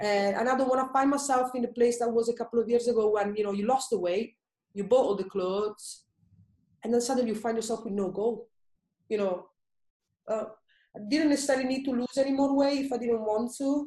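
At a fairly quick pace broken by long, frequent pauses, a woman with an Italian accent talks in a fairly high pitch, with fairly even intonation and a dark, mellow tone. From Italy. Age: 30s. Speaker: personal trainer and blogger. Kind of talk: casual interview, personal story.

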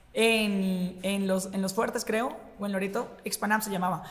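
A woman speaks in a medium pitch. Audible room echo and noticeable background noise surround her voice. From Colombia, Bogotá. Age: 20s. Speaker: radio host. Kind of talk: casual chat.

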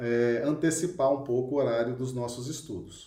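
Heard with audible room echo, a man speaks in a dark, mellow tone that is somewhat breathy, with ordinary pitch variation. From Minas Gerais, Brazil (Belo Horizonte). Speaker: spiritist study leader. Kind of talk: online lecture / religious study.

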